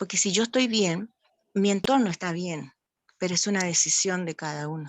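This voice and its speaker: A woman's medium-pitched voice at a moderate pace, with ordinary pitch variation. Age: 60s. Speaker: talk attendee. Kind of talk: open discussion in online talk. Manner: halting.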